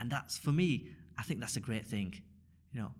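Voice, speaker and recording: Ordinary pitch variation colors a man's somewhat breathy, medium-pitched voice. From northern England, Rochdale. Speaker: community volunteer and mosque teacher. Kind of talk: casual interview.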